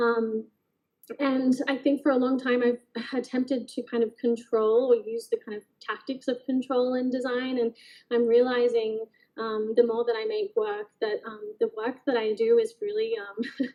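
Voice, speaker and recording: A woman speaks in a high voice with an Australian accent. Her intonation is fairly even. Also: moderate pace. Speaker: artist. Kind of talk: artist talk presentation. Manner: hesitant, many fillers.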